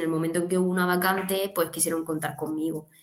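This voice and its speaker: A woman talks at a very fast pace in a monotone, flat intonation. Noticeable background noise runs underneath. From southern Alicante, Spain. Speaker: dietitian-nutritionist. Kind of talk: interview conversation.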